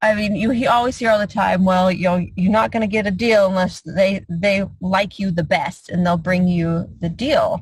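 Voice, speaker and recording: Moderate speed from a female speaker, somewhat breathy. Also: medium pitch for a woman, ordinary pitch variation, hardly any pauses. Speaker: real estate investor and mentor. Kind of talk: online mentoring call.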